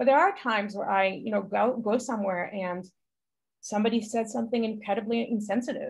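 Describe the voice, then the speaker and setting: A woman speaks at a fairly quick pace with a fairly high pitch and a somewhat breathy voice. Her intonation stays fairly even. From Israel. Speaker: health journalist. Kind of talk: interview. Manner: casual, uses many fillers. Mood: reflective, earnest. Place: home room. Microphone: video call.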